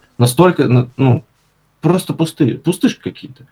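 A man talks at a moderate pace, his dark, mellow tone somewhat breathy. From St Petersburg, Russia. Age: 20s. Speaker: designer and blogger. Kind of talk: casual interview.

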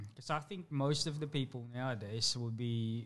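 A man with a normal speaking voice, medium pitch and ordinary pitch variation, against a quiet background. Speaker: podcast co-host. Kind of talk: casual chat.

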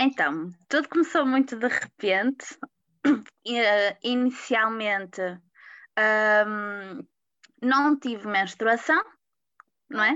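A woman's very slow, lively-intoned speech broken by long, frequent pauses. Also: fairly high pitch for a woman. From Portugal, Porto. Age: 20s. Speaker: patient sharing illness story. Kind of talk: interview testimony.

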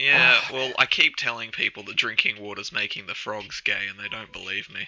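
A plain, everyday voice with big swings in loudness, fairly even intonation and a moderate pace. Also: man, medium pitch for a man. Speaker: podcast co-host. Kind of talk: casual, jokey banter.

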